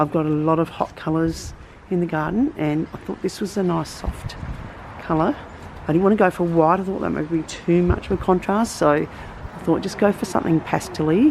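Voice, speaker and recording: Against noticeable background noise, a woman with an Australian accent talks at a moderate pace with ordinary pitch variation. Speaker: gardening vlogger. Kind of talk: casual tutorial. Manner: halting, many fillers.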